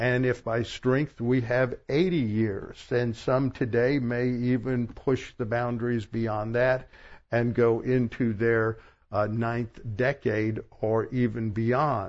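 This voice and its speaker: A man speaks very slowly at a medium pitch, with very even loudness and flat, monotone intonation. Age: 70s. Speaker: pastor. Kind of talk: sermon. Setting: church.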